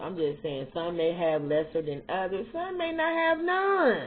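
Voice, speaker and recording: Animated in tone, a woman talks at a moderate pace. Noticeable background noise runs under her voice. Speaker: vlogger. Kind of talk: casual chat.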